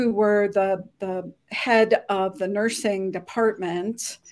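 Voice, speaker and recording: A woman's fairly high voice at a very slow pace, in a very clean recording with a silent background. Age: 60s. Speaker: former army nurse and business owner. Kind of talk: interview.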